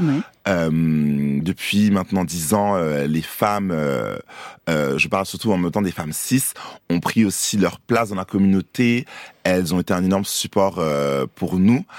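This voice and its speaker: Long, frequent pauses break up a man's fairly slow delivery. His very deep, low voice has ordinary pitch variation, and the recording is very clean with a silent background. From France and Côte d'Ivoire. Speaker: drag queen and voguing dancer. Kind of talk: radio interview. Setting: radio studio.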